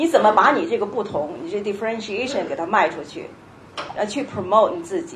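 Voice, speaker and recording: There is noticeable background noise and audible room echo as a woman talks at a fairly high pitch with very wide pitch swings. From Beijing, China. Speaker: tech company education manager. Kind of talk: panel discussion.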